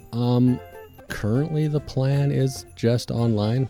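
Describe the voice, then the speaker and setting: A man speaks with music in the background. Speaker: comic book creator. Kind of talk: interview answer. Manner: hesitant, casual.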